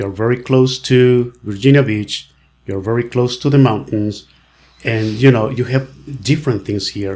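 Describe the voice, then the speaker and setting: A man with a Mexican accent speaks at a fairly slow pace, his medium-pitched voice keeping a fairly even intonation. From Mexico. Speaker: real estate agent. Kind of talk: podcast interview. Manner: halting.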